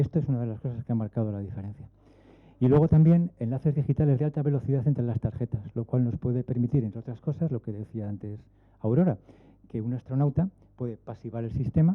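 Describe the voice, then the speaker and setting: Speaking at a medium pitch, a man talks at a very fast pace. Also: ordinary pitch variation. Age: 60s. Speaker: aerospace engineer. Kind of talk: panel talk.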